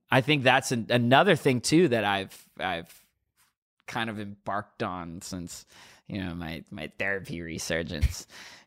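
A man with a plain, everyday voice and a fairly low pitch talks at a fairly slow pace, with lively intonation and big swings in loudness, on a very clean recording with a silent background. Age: 20s. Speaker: rapper. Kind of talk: casual interview. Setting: studio.

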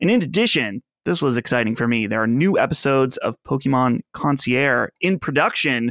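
A man's plain, everyday voice, medium in pitch with ordinary pitch variation, at a fairly quick pace with hardly any pauses and very even loudness, in a dry, close sound with no echo. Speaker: podcast host. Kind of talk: casual chat.

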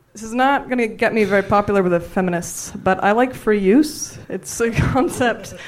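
With a Canadian accent, a woman of fairly high pitch speaks at a moderate pace with hardly any pauses and ordinary pitch variation, over noticeable background noise. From Canada (Ontario). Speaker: amateur comedian. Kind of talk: stand-up. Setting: stage with audience.

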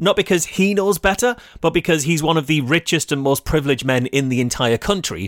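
An English accent with lively intonation and a moderate pace, in a very clean recording with a silent background and a dry, close sound with no echo. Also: man. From England. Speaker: podcast co-host. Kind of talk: comedic news podcast.

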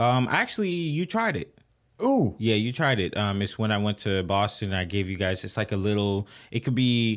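Here a man with a Haitian accent talks at a fairly low pitch. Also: ordinary pitch variation, moderate pace. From Haitian-American, Haitian family. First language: Haitian Creole. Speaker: podcast host. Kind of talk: casual chat.

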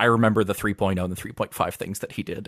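The recording is very clean, with a silent background. A man speaks at a fairly low pitch with fairly even intonation. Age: 30s. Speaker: tabletop game designer. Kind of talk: casual chat.

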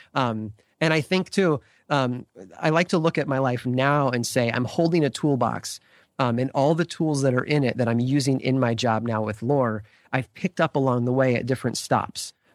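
A man's ordinary speaking voice at a medium pitch and moderate pace, with ordinary pitch variation and very even loudness, dry and close with no echo, in a very clean recording with a silent background. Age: 40s. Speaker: podcast creator and writer. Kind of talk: interview.

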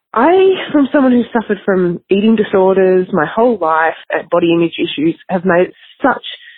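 This voice belongs to a woman. Her speech comes with an Australian accent. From Australia, Melbourne. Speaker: listener with a question, mother. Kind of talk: recorded voice message. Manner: hesitant.

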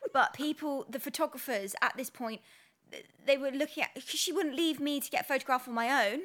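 At a fairly quick pace, a woman with a British accent speaks at a high pitch, with ordinary pitch variation and big swings in loudness. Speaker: podcast co-host. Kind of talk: casual chat.

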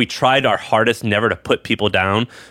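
A man talks at a fairly quick pace in a normal speaking voice. His intonation is fairly even. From US Midwest. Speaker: entrepreneur and podcast host. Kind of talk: casual interview.

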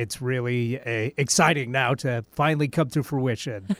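At a moderate pace, a man talks with fairly even intonation in a very clean recording with a silent background. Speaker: radio engineer and co-host. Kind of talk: casual talk radio chat.

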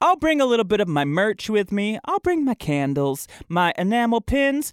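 On a very clean recording with a silent background, a man with an American accent speaks at a high pitch with very wide pitch swings, the sound dry and close, with no echo. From US Midwest, Michigan. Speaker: podcast host. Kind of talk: casual chat. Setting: studio.

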